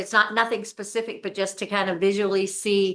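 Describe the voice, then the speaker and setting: A loud woman's voice, bright and sharp, medium in pitch, with fairly even intonation and a moderate pace. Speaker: state legislator. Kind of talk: committee hearing discussion. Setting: legislative committee room. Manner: halting.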